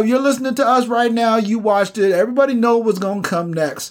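This man's voice sits extremely high and moves very fast, with ordinary pitch variation. Noticeable background noise can be heard. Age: 40s. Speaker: podcast co-host, navy veteran. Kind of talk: casual chat.

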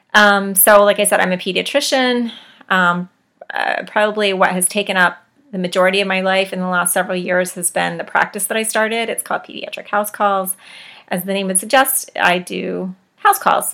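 A woman with an American accent uses an ordinary speaking voice at medium pitch, with fairly even intonation and a moderate pace. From West Virginia. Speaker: podcast host, pediatrician. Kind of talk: casual solo podcast monologue. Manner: casual, many filler ums.

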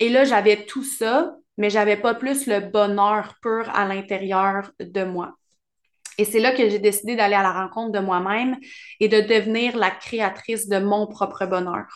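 Against a quiet background, a woman speaks at a fairly slow pace in an ordinary speaking voice, medium in pitch, with fairly even intonation. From Quebec, Bois-Francs region. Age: 30s. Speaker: relationship coach and podcast host. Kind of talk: solo podcast monologue.

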